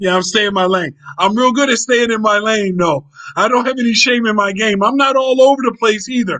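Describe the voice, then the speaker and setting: A man's raised, projected voice at an extremely high pitch, with ordinary pitch variation and a dry, close sound with no echo. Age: 60s. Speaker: retired traveler and travel vlogger. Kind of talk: casual chat.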